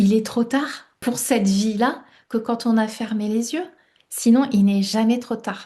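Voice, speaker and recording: Over a quiet background, the voice moves at a very slow pace, somewhat breathy with a dark, mellow tone. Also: woman, fairly high pitch for a woman. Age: 60s. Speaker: life coach and author. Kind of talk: interview. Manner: hesitant, many fillers.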